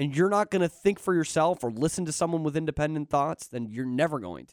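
High-pitched for a man, his lively intonation comes through a very clean recording with a silent background and a dry, close sound without echo. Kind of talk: sports talk radio banter. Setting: radio studio. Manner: laid-back, bantering.

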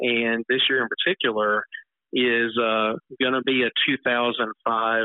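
A man speaks with a Southern US accent. His pitch is medium. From Mississippi (Natchez). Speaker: TV meteorologist. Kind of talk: interview.

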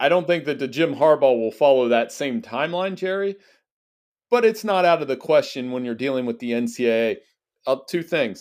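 Speaking at a fairly quick pace in a normal speaking voice, a man with a fairly high pitch is heard in a very clean recording over a silent background. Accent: American. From Central Ohio. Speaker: college football writer. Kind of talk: interview.

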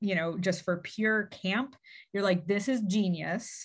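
A woman's somewhat breathy voice at a medium pitch, delivered at a fairly slow pace. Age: 40s. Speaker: childhood friend of the host. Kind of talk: casual chat.

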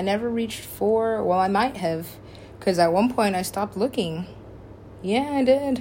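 A woman speaks with a dark, mellow tone. The room adds audible echo. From Alaska. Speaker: podcaster. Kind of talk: casual monologue. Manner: rambling, fast.

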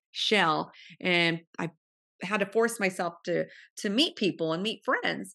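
With an American accent, a woman talks at medium pitch and a moderate pace in a bright, sharp tone with vocal fry, against a quiet background. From California, Central Valley (Modesto). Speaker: podcast host and supplement entrepreneur. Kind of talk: interview.

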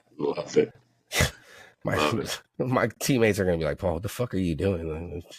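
A man's very deep, low voice with lively intonation and a somewhat breathy edge, at a moderate pace with long, frequent pauses, on a very clean recording with a silent background. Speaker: podcast co-host and football coach. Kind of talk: casual chat. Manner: animated.

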